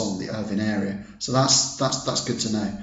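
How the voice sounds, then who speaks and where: A man's fairly low voice in an English accent, at a moderate pace with fairly even intonation, amid audible room echo and noticeable background noise. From England. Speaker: product reviewer. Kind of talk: business review. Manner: hesitant, many fillers.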